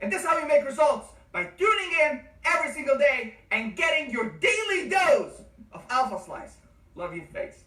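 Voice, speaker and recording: The voice is loud and enthusiastic. It moves at a moderate pace. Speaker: nursing exam tutor. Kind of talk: online course lecture. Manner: loud, enthusiastic; animated.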